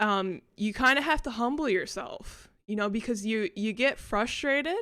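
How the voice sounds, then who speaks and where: Her pitch is fairly high. A woman speaks with an American accent. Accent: American, noticeable to locals. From United States. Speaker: vlogger. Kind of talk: casual vlog ramble. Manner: hesitant, many fillers.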